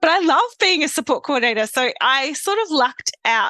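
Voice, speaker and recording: In a South Australian accent, a raised, projected voice with a bright, sharp tone moves at a moderate pace through very wide pitch swings, the sound dry and close with no echo. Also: woman. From South Australia, Adelaide family; grew up in Victoria. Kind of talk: podcast interview. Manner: casual, conversational.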